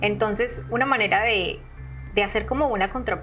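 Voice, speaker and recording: Woman with a Colombian accent, music in the background. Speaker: artist and art educator. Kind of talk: podcast interview answer.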